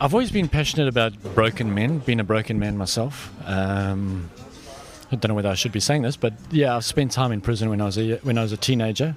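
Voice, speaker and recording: Talking at a very fast pace, a man with a South African accent uses a medium pitch with ordinary pitch variation. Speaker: prison ministry worker. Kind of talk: interview. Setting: in-person interview.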